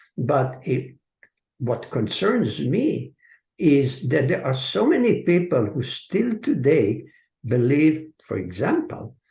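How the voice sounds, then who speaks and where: Speaking very slowly, a man uses a fairly high pitch with very wide swings. His dark, mellow tone carries vocal fry. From Hungary and Israel. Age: 70s. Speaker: author and translator. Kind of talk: audience Q&A. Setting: video call. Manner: hesitant, many filler sounds.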